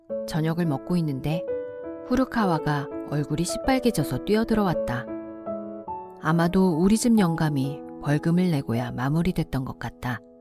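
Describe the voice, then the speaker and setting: A woman speaks in a very deep, low voice with very wide swings in pitch. Long pauses come often, and music plays behind her. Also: moderate pace. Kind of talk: audiobook novel reading.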